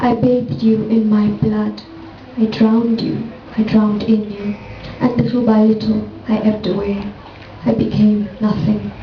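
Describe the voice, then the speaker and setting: There's noticeable noise behind the speech. A woman talks at a moderate speed. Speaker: poet. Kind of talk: poetry reading.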